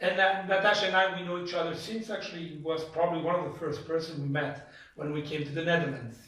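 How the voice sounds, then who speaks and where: A man with a French accent talks very fast in a high voice, his intonation fairly even, with audible room echo and noticeable background noise. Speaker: church host interviewer. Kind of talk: church testimony interview, interpreted. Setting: in a private home. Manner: halting, with many filler sounds.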